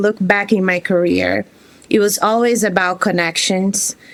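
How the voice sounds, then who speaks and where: A woman speaks at a medium pitch with a Brazilian accent and ordinary pitch variation. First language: Portuguese. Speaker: career changer, former teacher. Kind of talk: interview.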